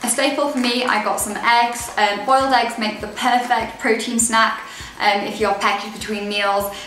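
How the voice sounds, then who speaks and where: A woman's fairly high, monotone, flat delivery at a moderate pace, with audible room echo and light background noise. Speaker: dietitian and blogger. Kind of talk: casual talk to camera. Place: home room. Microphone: camera far.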